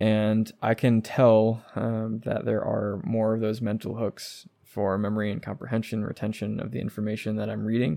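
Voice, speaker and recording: A man's fairly low voice with a dark, mellow tone, fairly even intonation, a moderate pace and hardly any pauses, against a quiet background. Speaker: podcast host. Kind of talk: solo podcast monologue. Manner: little inflection, reserved; hesitant, many fillers.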